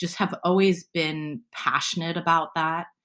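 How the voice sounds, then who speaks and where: With an American accent and a normal speaking voice, a woman talks at a fairly low pitch and a fairly slow pace. The recording is very clean with a silent background. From US West Coast, San Francisco. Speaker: self-defense coach. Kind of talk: interview conversation.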